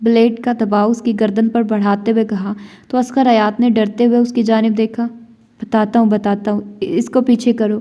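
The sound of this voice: An unforced reading voice delivers the passage.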